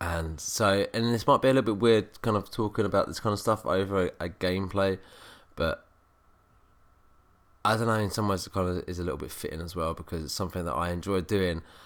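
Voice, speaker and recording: On a very clean recording with a silent background, a man speaks at a very fast pace in a serious tone. His voice is fairly low, with ordinary pitch variation. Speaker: gaming youtuber. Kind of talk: gameplay commentary. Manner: subdued, serious tone.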